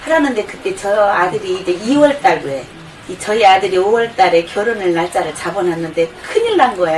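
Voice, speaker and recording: A woman speaks at a moderate pace in a medium pitch with lively intonation. Noticeable background noise runs behind her. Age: 50s. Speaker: product testimonial customer. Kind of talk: testimony. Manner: casual, rambling with fillers.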